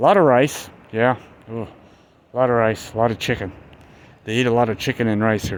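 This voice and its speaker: A man's medium-pitched voice at a fairly quick pace, with fairly even intonation and long, frequent pauses. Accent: American. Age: 60s. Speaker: vlogger, expat in the Philippines. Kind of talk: casual vlog monologue. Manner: halting, with many fillers and repeats.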